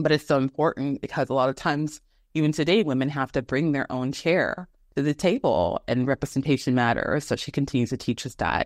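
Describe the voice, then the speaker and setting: A woman speaks at a fairly quick pace with a very deep, low pitch. The sound is dry and close with no echo, against a quiet background. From Texas, Houston. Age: young. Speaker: women's rights organization president. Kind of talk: interview.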